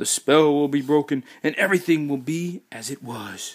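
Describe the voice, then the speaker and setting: This man uses a put-on character voice. It sits at a fairly high pitch. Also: moderate pace. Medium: read story. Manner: warm, brisk.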